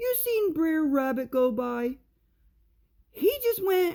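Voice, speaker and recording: A woman's put-on character voice, extremely high-pitched and fairly slow, with very wide pitch swings. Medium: read story. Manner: slow, simple.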